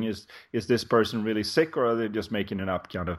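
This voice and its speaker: A man's fairly low voice at a moderate pace, with fairly even intonation. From Sweden. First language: Swedish. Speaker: life coach. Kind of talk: interview conversation.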